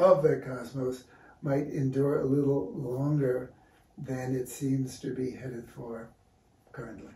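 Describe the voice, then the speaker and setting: Speaking with an American accent, a man sounds somewhat breathy at a fairly slow pace, leaving long, frequent pauses amid audible room echo. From New York City (Brooklyn). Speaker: visual artist and art teacher. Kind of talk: casual interview. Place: studio. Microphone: camera far.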